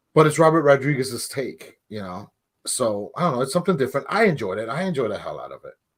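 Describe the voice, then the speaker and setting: A somewhat breathy man at a fairly high pitch and a very fast pace, with lively intonation and big swings in loudness, on a very clean recording with a silent background. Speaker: movie podcast co-host. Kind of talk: casual chat.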